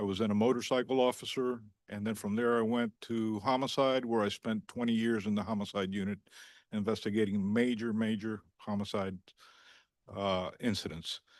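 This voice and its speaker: With an ordinary speaking voice, a man talks at a moderate pace in a fairly low pitch and fairly even intonation against a quiet background. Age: 60s. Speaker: police chief candidate. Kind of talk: job candidate address at public meeting. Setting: municipal commission meeting. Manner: formal.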